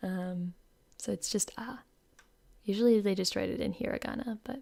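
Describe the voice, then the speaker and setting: The voice is quiet, with a dark, mellow tone. It moves at a moderate pace with ordinary pitch variation. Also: woman. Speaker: VTuber streamer. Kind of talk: live stream lyric analysis.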